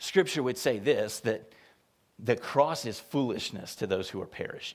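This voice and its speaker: The intonation is lively. The pace is moderate. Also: man. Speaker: associate pastor. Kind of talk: sermon. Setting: church. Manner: soft-spoken.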